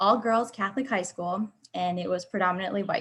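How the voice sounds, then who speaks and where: Against a quiet background, a woman talks at a moderate pace with a somewhat breathy, medium-pitched voice and fairly even intonation. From Ecuador. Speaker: ultimate frisbee player, panelist. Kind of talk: live panel discussion.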